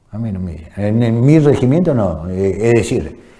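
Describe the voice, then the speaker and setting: Against audible room echo, a man speaks with lively intonation and a dark, mellow tone. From Argentina, Chaco province. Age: 60s. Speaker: war veteran. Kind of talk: testimony interview.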